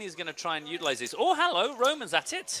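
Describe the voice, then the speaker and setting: A man with an Essex accent speaks very fast with lively intonation over noticeable background noise. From England, Essex. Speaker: poker commentator. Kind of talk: live commentary. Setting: small commentary booth.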